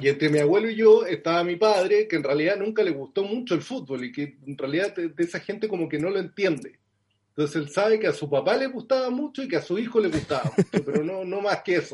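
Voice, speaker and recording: With lively intonation, a man talks at a very fast pace in a high pitch. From southern Chile (Concepción, Los Ángeles). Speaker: journalist and author. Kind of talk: interview.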